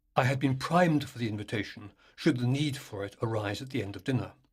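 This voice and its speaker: A somewhat breathy man at a medium pitch talks at a fairly quick pace with lively intonation. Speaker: author. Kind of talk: ghost story reading.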